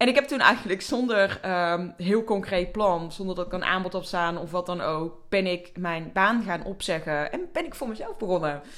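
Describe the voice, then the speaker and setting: Here a woman speaks at a medium pitch in an unremarkable speaking voice. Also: ordinary pitch variation, moderate pace. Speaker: podcast host and coach. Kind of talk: personal storytelling monologue.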